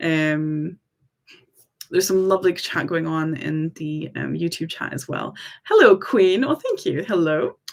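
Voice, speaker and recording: A woman in an American accent at a fairly slow pace. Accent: half American, half Scottish. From US South, Tennessee. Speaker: employment rights advisor. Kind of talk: live stream Q&A. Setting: livestream. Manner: casual, with many filler ums.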